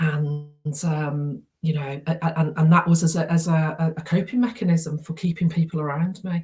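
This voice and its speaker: A woman's fairly low, somewhat breathy voice with a dark, mellow tone, fairly even intonation, a moderate pace and hardly any pauses. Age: 60s. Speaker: therapy practitioner. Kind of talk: interview. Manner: halting, many repetitions.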